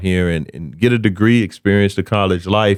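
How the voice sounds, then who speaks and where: A man with an American accent talks at a fairly quick pace on a very clean recording with a silent background. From US South, South Carolina (Camden). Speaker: comedian and speaker. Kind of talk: casual chat.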